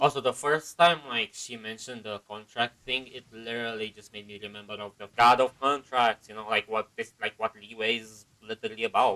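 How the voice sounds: A man's fairly low pitch and bright, sharp tone at a fairly quick pace, with fairly even intonation and few pauses.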